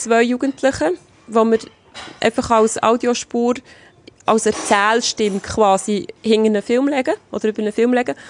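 In a normal speaking voice, a woman talks at a moderate pace and fairly high pitch. Her pitch variation is ordinary, and the sound is dry and close with no echo. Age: 40s. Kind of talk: interview.

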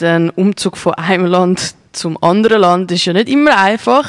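Against noticeable background noise, a woman with a Zurich accent talks at a medium pitch and a moderate pace. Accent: Zurich Swiss German. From Zurich, Switzerland. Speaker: radio host. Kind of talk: casual interview. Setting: studio.

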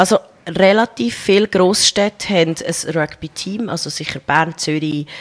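An unremarkable speaking voice at a fairly slow pace, dry and close with no echo, against a quiet background. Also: woman. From central Switzerland, small town (Colombian-born). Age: 30s. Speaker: rugby player and nurse. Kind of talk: interview. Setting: radio studio, live.

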